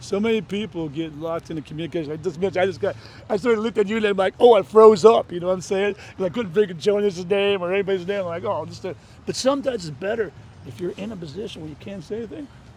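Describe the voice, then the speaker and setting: A man with an American accent at a very fast pace, high in pitch, with ordinary pitch variation and big swings in loudness. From Florida Gulf Coast, Clearwater area. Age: 60s. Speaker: podcast host, street interviewer. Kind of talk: street interview. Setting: outdoors at a beach.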